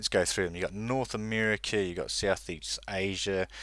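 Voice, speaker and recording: The tone is bright and sharp, the intonation fairly even and the pace moderate, in a very clean recording with a silent background. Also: man. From New Zealand. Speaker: gaming YouTuber. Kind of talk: answering viewer mail, casual.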